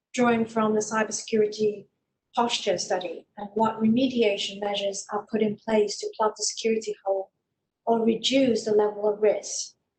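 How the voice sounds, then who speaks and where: The delivery is somewhat breathy and monotone, with flat intonation at a moderate pace. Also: woman, fairly high pitch for a woman. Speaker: cybersecurity consultant. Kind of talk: webinar presentation. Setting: online webinar.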